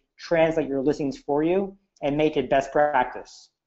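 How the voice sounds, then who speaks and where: A man speaks in a normal speaking voice, fairly high in pitch. He talks at a fairly quick pace against a quiet background. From United States. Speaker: e-commerce entrepreneur. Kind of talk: webinar presentation. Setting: online webinar call. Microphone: headset.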